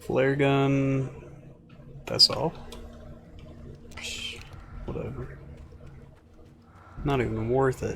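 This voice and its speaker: A man speaks at a very slow pace with long, frequent pauses, amid audible room echo and noticeable background noise. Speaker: video game streamer. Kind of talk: live game commentary. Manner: mumbles when quiet.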